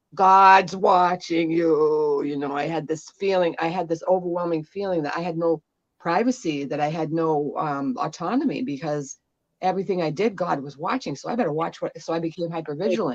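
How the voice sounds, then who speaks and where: A woman talks at a fairly quick pace in a plain, everyday voice. Her pitch is fairly low and moves in an ordinary way. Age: 60s. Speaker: guest healer. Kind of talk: casual interview chat.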